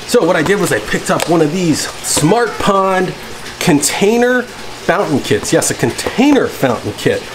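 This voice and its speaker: There is noticeable background noise. A man speaks over it at a moderate pace. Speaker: fish hobby vlogger. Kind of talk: casual vlog chat. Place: garage. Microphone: phone near.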